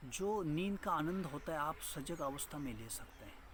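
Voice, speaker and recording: Bright and sharp in tone, a man's voice carries ordinary pitch variation. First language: Marathi (speaking Hindi). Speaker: meditation teacher. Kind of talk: spiritual talk. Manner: halting.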